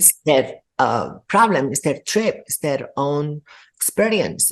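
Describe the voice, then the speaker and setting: A woman at a very slow pace, her pitch very deep and low, with lively intonation and big swings in loudness. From Spain. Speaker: artist. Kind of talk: interview answer.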